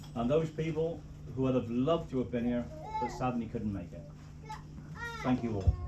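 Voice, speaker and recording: A man's medium-pitched voice at a fairly quick pace, with lively intonation, noticeable background noise and audible room echo. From Cornwall. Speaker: wedding speaker, father of the bride. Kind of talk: wedding speech. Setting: wedding reception with microphone. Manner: jokey, informal.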